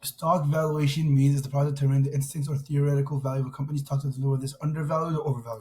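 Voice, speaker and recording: A man speaks very fast in a fairly high, somewhat breathy voice with flat, monotone intonation. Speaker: student presenting assignment. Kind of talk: tutorial. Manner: casual, informal.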